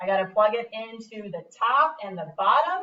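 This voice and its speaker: A woman's bright, sharp tone at a fairly slow pace. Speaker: math teacher. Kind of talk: tutorial.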